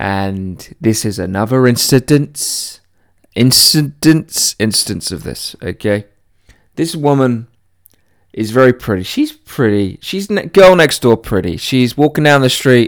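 At a fairly slow pace, a man with a British accent speaks at a medium pitch. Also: lively intonation. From Britain. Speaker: podcast host. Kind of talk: casual solo monologue.

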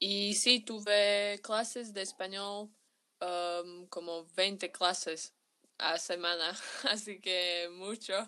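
A woman with a Slovak accent speaks at a very slow pace. Her tone is bright and sharp, and the recording is very clean with a silent background. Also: medium pitch for a woman. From Slovakia, Bratislava. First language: Slovak (speaking Spanish). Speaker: university student. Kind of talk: interview testimony. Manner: halting.

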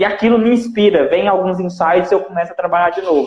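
Rushing along at a very fast pace, a man speaks at a high pitch with ordinary pitch variation. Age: 20s. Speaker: channel host, entrepreneur. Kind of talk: casual chat on a live stream. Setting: Instagram live.

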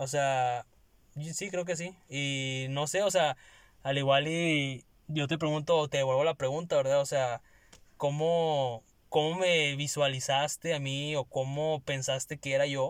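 In a plain, everyday voice, a man with a fairly high pitch speaks at a fairly slow pace with fairly even intonation, on a very clean recording with a silent background. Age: 20s. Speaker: podcast co-host, communication student. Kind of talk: casual chat.

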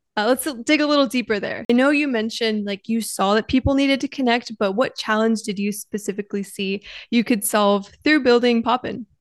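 In a dry, close sound with no echo and a quiet background, a woman with an unremarkable speaking voice talks at a fairly quick pace and fairly high pitch, using ordinary pitch variation and hardly any pauses. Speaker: podcast host, student. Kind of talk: interview.

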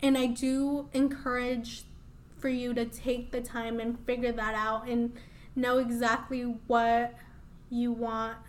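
Speaking very slowly in an American accent, a woman uses a high pitch and a flat, monotone intonation, with audible echo from the room. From US Midwest, Des Moines, Iowa. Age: 20s. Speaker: beauty business owner. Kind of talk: interview. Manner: casual.

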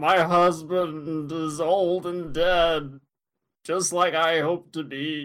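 A man puts on a character voice with a high pitch. He talks at a very slow pace in monotone, flat intonation.

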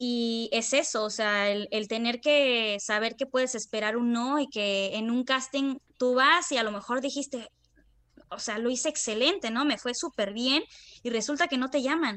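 A woman's high-pitched voice with a bright, sharp tone, ordinary pitch variation, and a fairly slow pace. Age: 20s. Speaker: acting student. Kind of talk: interview.

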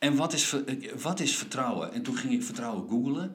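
The man's pitch swings very widely. Room echo is audible. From Friesland, Netherlands. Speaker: podcast host. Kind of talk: philosophical conversation. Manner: halting.

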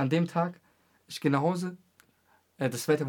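The man's voice has a somewhat breathy quality. He speaks fairly quickly. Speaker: podcast host. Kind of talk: casual chat.

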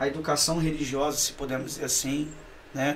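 Noticeable background noise sits behind a man talking at a fairly slow pace, his fairly high pitch held in a fairly even intonation. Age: 40s. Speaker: pastor. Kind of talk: casual chat.

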